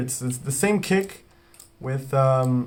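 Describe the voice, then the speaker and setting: The man's voice sits fairly high for a man. It comes across somewhat breathy. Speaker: music producer. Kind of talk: tutorial. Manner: halting, many false starts; talking quietly.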